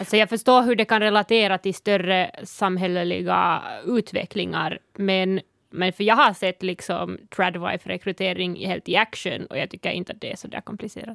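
Recorded in a dry, close sound with no echo, a woman speaks at a moderate pace and medium pitch with vocal fry, fairly even intonation, and big swings in loudness. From Sápmi, northern Finland. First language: Northern Sami (speaking Swedish). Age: 20s. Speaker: activist and podcast panelist. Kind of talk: casual chat. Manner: halting, many fillers.

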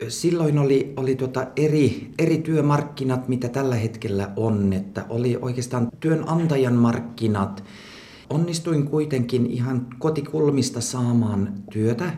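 A man with a Swedish accent speaks very slowly at medium pitch, with ordinary pitch variation. Noticeable background noise and audible room echo surround him. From Swedish-speaking Ostrobothnia, Finland (Pedersöre). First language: Swedish (speaking Finnish). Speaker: physician. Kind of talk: interview. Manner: halting, many fillers.

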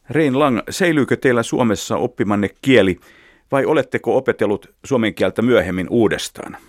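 A man with an ordinary speaking voice, medium pitch, lively intonation, very even loudness and a moderate pace, in a dry, close sound with no echo on a very clean recording with a silent background. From Finland, Helsinki. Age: 50s. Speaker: radio journalist. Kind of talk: interview. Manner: formal.

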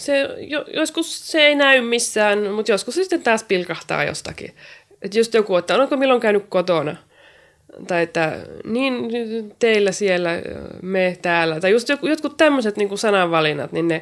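Speaking at a moderate pace, a woman with a fairly high pitch makes very wide pitch swings in a very clean recording with a silent background. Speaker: poet and writer. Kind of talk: interview.

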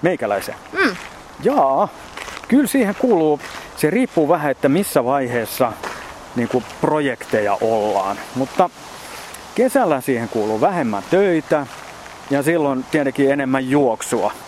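Over noticeable background noise, a man with a fairly high pitch talks at a very slow pace, with long, frequent pauses, lively intonation and very even loudness. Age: 50s. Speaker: ultrarunner. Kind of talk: casual interview. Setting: outdoors in a park.

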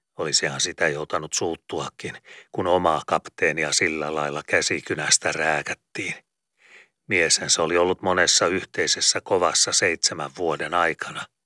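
Recorded very cleanly against a silent background, a man speaks at a fairly slow pace with a dry, close sound and no echo. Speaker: audiobook narrator. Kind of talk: literary audiobook reading, dense archaic prose read aloud in a steady, storytelling tone. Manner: slow, measured and expressive, with emphatic, rolling delivery of long ornate sentences.

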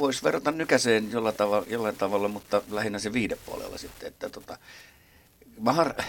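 A man's normal speaking voice at a medium pitch, fairly quick pace, big swings in loudness and ordinary pitch variation. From Helsinki, Finland. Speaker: drummer. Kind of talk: interview.

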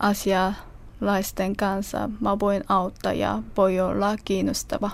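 A woman with a Korean accent, a medium pitch, and monotone, flat intonation. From South Korea. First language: Korean (speaking Finnish). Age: 20s. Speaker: interviewee, language learner. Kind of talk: interview. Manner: halting.

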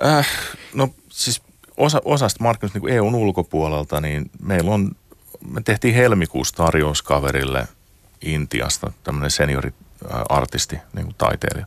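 With a very deep, low pitch and very wide pitch swings, a man talks at a fairly slow pace in a dry, close sound with no echo over noticeable background noise. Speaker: games industry executive. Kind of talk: interview. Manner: halting.

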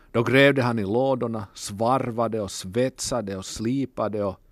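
A man with an Ostrobothnian accent at a fairly slow pace, against a quiet background. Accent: Finland-Swedish, Ostrobothnian dialect. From Ostrobothnia, Finland (Kokkola). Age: 40s. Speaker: musician. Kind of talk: radio monologue.

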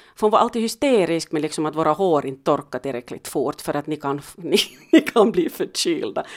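Speaking at a fairly quick pace in a Finland-Swedish accent, a woman uses lively intonation. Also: fairly low pitch for a woman. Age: 50s. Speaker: podcast co-host, mother. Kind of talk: casual chat.

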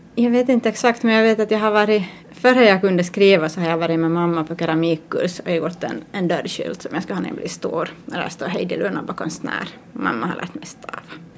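A woman speaks at a fairly quick pace with lively intonation and a fairly low pitch. Noticeable background noise runs behind her. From Finland, Ostrobothnia (Pedersöre). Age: 30s. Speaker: artist. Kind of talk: interview.

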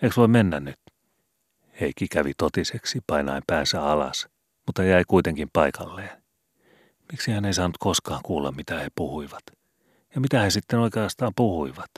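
On a very clean recording with a silent background and a dry, close sound with no echo, a man with a very deep, low pitch speaks at a moderate pace, using lively intonation and long, frequent pauses. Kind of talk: audiobook reading of a classic youth novel.

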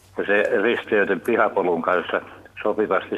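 A man keeps a moderate speed while noticeable background noise plays under his speech. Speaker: caller. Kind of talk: call-in anecdote. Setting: phone call. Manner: hesitant, many fillers.

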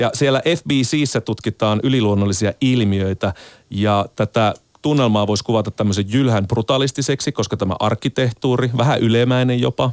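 A man speaks in a plain, everyday voice at a medium pitch, moderate pace and ordinary pitch variation, with very even loudness. The sound is dry and close with no echo, on a very clean recording with a silent background. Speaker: radio host. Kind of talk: radio interview. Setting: studio.

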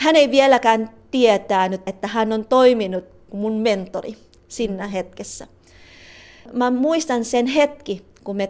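A woman in a Tagalog accent, at a fairly high pitch and a fairly slow pace, with ordinary pitch variation. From Philippines. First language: Tagalog (speaking Finnish). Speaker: psychologist and trainer at a women's organisation. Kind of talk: interview testimony. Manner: halting.

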